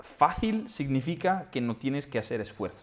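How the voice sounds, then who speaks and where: A man with an Italian accent speaks very slowly, his medium pitch making very wide swings. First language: Italian (speaking Spanish). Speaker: trader and trading platform founder. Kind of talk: interview. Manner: halting, many false starts and repetitions.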